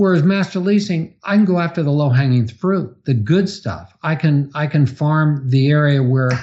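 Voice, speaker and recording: His voice comes across somewhat breathy. This man's pitch varies in an ordinary way. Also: moderate pace, hardly any pauses. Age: 60s. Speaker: real estate investor. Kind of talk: podcast interview. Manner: halting with repetitions.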